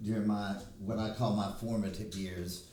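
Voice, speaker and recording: A man with an Alabama accent speaks at a fairly slow pace with fairly even intonation. Audible room echo and noticeable background noise fill the recording. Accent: Alabama Southern US. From US South, Alabama. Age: 60s. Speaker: hairstylist. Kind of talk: casual chat.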